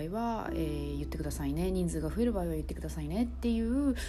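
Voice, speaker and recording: Over music in the background and audible room echo, a woman speaks at a fairly quick pace. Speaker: podcaster. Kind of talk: casual solo talk.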